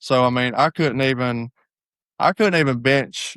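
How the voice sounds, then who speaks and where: A medium-pitched man's voice in a Southern US accent, in a very clean recording with a silent background and a dry, close sound with no echo. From US South. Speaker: hunting guide and former college football player. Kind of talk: casual chat.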